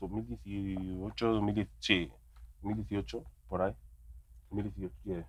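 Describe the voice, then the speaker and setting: A man with a very deep, low voice speaks at a very slow pace. His intonation is lively, and he leaves long, frequent pauses. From Spain, Madrid. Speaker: rapper. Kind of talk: casual chat.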